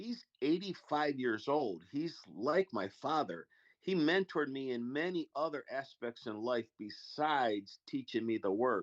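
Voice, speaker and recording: A plain, everyday voice at a fairly slow pace with lively intonation, a quiet background, and a dry, close sound with no echo. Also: man. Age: 60s. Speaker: freemason panel member. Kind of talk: casual chat.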